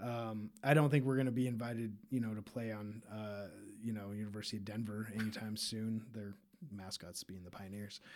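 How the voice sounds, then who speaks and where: In a normal speaking voice, a man talks at a fairly quick pace with fairly low pitch, fairly even intonation and big swings in loudness. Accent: American. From Utah (Park City). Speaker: artist and activist. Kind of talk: interview conversation.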